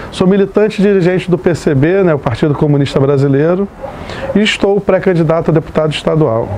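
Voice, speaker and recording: Over noticeable background noise, a high-pitched man speaks at a fairly quick pace with ordinary pitch variation and very even loudness. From Rio de Janeiro, west zone suburbs. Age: 30s. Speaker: teacher and political candidate. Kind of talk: personal testimony interview. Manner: hesitant, many fillers.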